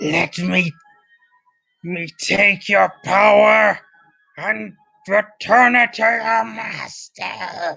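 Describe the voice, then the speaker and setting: A put-on character voice, raspy and hissing, sits at a fairly high pitch. It moves at a very slow pace with long, frequent pauses. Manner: enraged.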